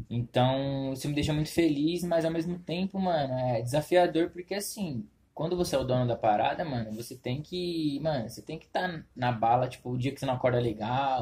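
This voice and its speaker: Fairly quick and with hardly any pauses, a man speaks at a fairly high pitch in a dark, mellow, somewhat breathy tone with ordinary pitch variation. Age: 20s. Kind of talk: casual chat.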